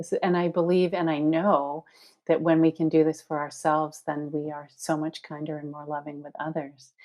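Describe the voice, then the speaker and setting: With monotone, flat intonation and big swings in loudness, a woman speaks at a moderate pace in a very deep, low pitch. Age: 60s. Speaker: body positivity organization founder and author. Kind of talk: podcast interview. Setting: podcast recording.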